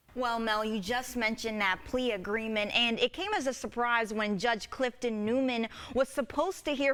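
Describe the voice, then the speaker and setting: High-pitched female speech at a moderate pace, with ordinary pitch variation and noticeable background noise. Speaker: TV news reporter. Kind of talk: TV news reporter package and live shot.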